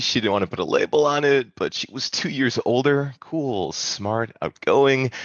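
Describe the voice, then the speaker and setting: A man with an American accent speaks at a moderate pace in a normal speaking voice. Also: hardly any pauses. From Wisconsin. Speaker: storyteller. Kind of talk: storytelling performance.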